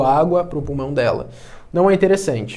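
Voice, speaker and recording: A man speaks with ordinary pitch movement in a space with audible room echo. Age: 20s. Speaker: physical education teacher and personal trainer. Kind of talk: casual podcast interview, streamed live.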